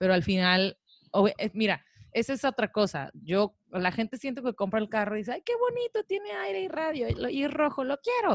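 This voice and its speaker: Delivered at a moderate pace with very wide pitch swings, the voice has a dry, close sound with no echo. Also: woman, fairly high pitch for a woman. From Mexico, Tijuana. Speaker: podcast co-host. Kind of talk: casual chat. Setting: studio.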